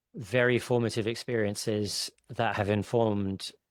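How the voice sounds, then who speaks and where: A man with an ordinary speaking voice, on a very clean recording with a silent background. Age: 40s. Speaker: tech company CEO. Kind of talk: podcast interview.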